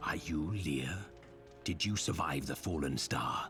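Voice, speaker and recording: Over clear music in the background, a man puts on a character voice with very deep, low pitch at a fairly slow pace. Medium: video game. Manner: terse, calm.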